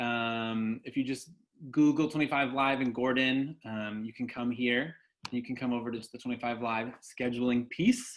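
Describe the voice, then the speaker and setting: Against a quiet background, a man speaks at medium pitch with monotone, flat intonation. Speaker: college events scheduling director. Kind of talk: training tutorial. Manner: fast.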